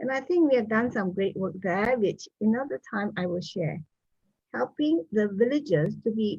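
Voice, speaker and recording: At a fairly slow pace, a woman speaks with a fairly high pitch, very wide pitch swings and a dark, mellow, somewhat breathy tone. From Malaysia. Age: 70s. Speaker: business owner and doctor. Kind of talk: interview.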